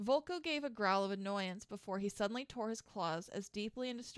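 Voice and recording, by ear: Natural reading aloud, the pitch rising and falling an ordinary amount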